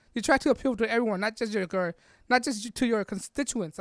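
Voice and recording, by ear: Mumbling at a fairly quick pace, a put-on character voice comes through on a very clean recording with a silent background. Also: female-sounding voice, fairly high pitch for a woman.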